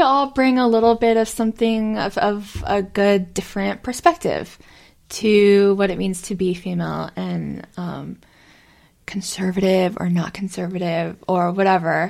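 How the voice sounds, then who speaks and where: A woman's plain, everyday voice, medium in pitch, with an American accent, ordinary pitch variation and a fairly slow pace, on a very clean recording with a silent background. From South Carolina. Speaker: podcast co-host. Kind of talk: casual chat.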